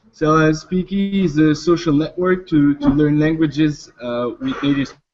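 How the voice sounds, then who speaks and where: Speaking with a French accent, a man talks at a moderate pace. His voice is fairly high-pitched, with ordinary pitch variation. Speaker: startup founder. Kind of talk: startup pitch Q&A. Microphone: line cutting out.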